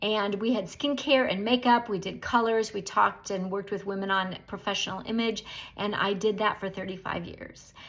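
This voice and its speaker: Using an ordinary speaking voice, a woman speaks at a moderate pace and medium pitch with fairly even intonation and hardly any pauses. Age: 60s. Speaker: direct sales beauty consultant. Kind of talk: casual welcome talk to new team.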